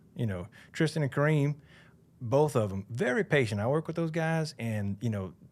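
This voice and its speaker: Man with a Southern US accent, fairly high in pitch, lively intonation and a moderate pace, in a very clean recording with a silent background. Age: 40s. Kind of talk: casual chat.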